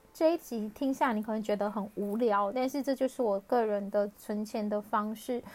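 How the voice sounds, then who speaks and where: Her pitch is fairly high with ordinary variation. The woman talks at a fairly slow pace. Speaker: personal finance podcaster. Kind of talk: casual solo podcast talk. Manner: laughs often. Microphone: crackly, hissy recording.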